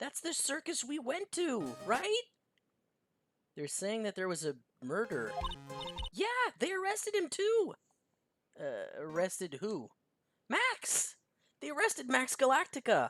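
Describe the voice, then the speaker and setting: A put-on character voice rings out raised and projected at a high pitch. It moves at a fairly slow pace with long, frequent pauses. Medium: game stream. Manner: bubbly, excitable.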